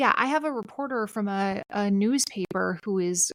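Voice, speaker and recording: The speaker has a Minnesotan accent, heard in a dry, close sound with no echo. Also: woman. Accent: Minnesota. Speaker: civic educator and author. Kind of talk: podcast interview.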